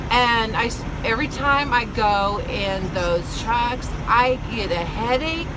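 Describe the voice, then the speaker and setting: Clearly audible noise runs in the background while a woman speaks. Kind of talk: casual vlog chat. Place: car. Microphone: phone near.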